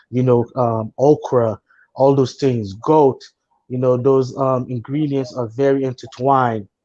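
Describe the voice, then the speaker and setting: A man with a Haitian accent, medium in pitch, dark and mellow in tone, with monotone, flat intonation. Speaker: chef. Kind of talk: panel discussion. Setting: Facebook live stream.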